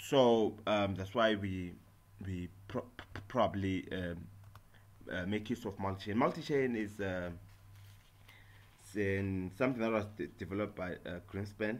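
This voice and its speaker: Pausing long and often, a man speaks fairly slowly at a fairly low pitch, with ordinary pitch variation. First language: not English. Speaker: software tutorial maker. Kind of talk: tutorial. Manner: halting, many fillers and repetitions.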